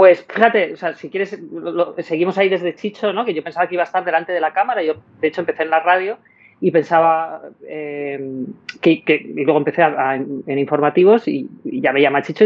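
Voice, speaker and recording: In a normal speaking voice, a woman with fairly low pitch talks at a fairly quick pace with ordinary pitch variation. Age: 50s. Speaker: television producer and director. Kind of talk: casual interview conversation.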